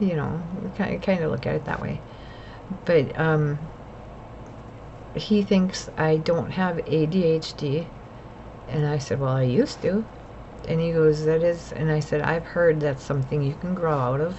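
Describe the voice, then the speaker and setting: Over noticeable background noise, a woman speaks at a fairly slow pace with a very deep, low pitch, ordinary pitch variation, and long, frequent pauses. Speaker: mental health vlogger. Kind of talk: personal vlog monologue. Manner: rambling, jumps between topics.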